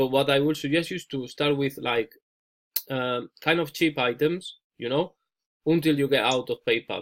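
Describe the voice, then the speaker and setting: Talking at a moderate pace, a man with an unremarkable speaking voice and a fairly high pitch keeps his intonation fairly even. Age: 30s. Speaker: ecommerce coach. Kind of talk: coaching call.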